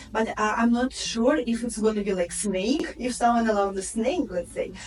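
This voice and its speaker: A speaker with a Russian accent talks at a moderate pace, with ordinary pitch variation. Noticeable background noise runs under the voice. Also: woman, fairly high pitch for a woman. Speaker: real estate agent. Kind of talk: interview. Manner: halting.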